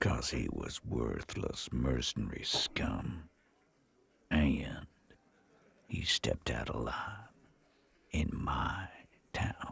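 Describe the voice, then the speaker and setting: A man puts on a raspy, hissing character voice at a very deep, low pitch. He goes very slowly, with long, frequent pauses. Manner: hissing through teeth, venomous.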